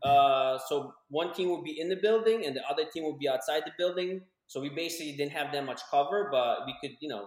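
Talking very fast, a man with an American accent uses a fairly high voice and lively intonation. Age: 30s. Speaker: podcast co-host. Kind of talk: casual chat. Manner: animated. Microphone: echo in room.

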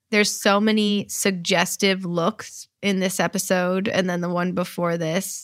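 A woman with medium pitch and a normal speaking voice, fairly even intonation and a fairly slow pace. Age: 40s. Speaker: actress and podcast co-host. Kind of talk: casual chat.

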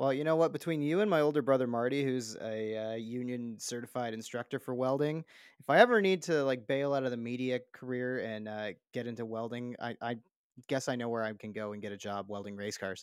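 A man with a Canadian accent speaks at a fairly quick pace, medium in pitch with ordinary pitch variation. His is an unremarkable speaking voice, on a very clean recording with a silent background. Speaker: podcast host. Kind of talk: casual chat.

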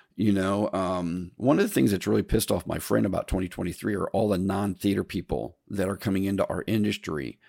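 Very clean, with a silent background and a dry, close sound without echo, the recording has a man talking at a fairly quick pace with hardly any pauses, his fairly low voice dark and mellow with vocal fry. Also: ordinary pitch variation. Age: 60s. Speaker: podcast host, theater technician and lighting sales. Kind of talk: solo monologue podcast. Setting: recorded early morning, solo. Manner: casual, rambling with many fillers.

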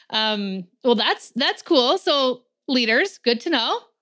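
A woman raises and projects her high-pitched voice, which has a bright, sharp tone. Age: 40s. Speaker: podcast host, workplace mental health consultant. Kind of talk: casual interview chat; scripted intro.

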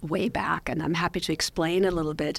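This is a woman's voice. Her pitch sits fairly low. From Austria. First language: German. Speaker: professor. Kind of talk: casual chat. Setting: studio.

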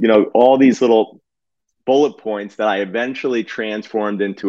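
A man talks with a fairly low pitch that varies in an ordinary way, keeping to a moderate tempo. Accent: New Jersey. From New Jersey. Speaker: physician and real estate investor. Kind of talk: casual interview chat.

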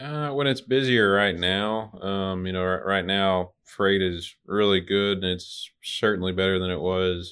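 A man with an Arkansas accent, fairly low-pitched, at a fairly slow pace with hardly any pauses and ordinary pitch variation. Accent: Southern US (Arkansas). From Little Rock, Arkansas. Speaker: truck dispatcher. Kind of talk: casual interview.

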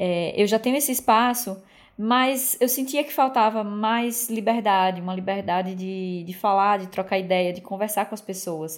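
A woman talks at a moderate pace and medium pitch in a plain, everyday voice with ordinary pitch variation. Her loudness swings widely. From Brazil, Aracaju, Sergipe. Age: 30s. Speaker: podcast host, psychologist. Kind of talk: casual monologue.

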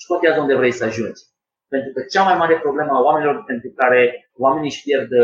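A man speaking at a fairly quick pace. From Romania, Sibiu. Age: 20s. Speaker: former gymnast and lifestyle coach. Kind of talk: casual interview. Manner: halting.

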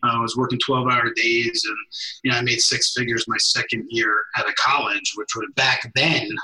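A man with an American accent speaks at a medium pitch and a moderate pace. His intonation is monotone and flat. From New Jersey, Bergen County. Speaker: entrepreneur. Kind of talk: interview. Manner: halting, many fillers.

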